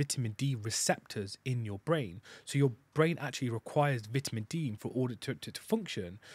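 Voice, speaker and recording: A man at a fairly quick pace, with ordinary pitch variation and a dry sound with no echo. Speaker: podcast host. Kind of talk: casual chat. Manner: animated, gets loud. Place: studio. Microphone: studio mic.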